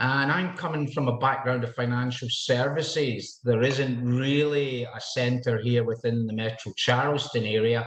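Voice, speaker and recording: Over noticeable background noise, a man with a Scottish accent speaks at a fairly slow pace with fairly even intonation. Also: medium pitch for a man. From Scotland. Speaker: realtor. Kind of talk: podcast interview.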